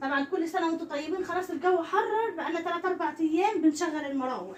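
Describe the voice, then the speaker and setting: Amid noticeable background noise, a woman with an Egyptian accent speaks at a very fast pace and an extremely high pitch, with ordinary pitch variation. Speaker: vlogger. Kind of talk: home vlog chat. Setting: bedroom at home. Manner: soft-spoken.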